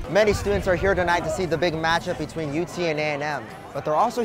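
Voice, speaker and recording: With music in the background, a man speaks at a very fast pace in an American accent. His pitch is fairly high. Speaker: TV news anchor and reporter (intern). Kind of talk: TV news anchor and reporter delivery. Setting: studio anchor desk.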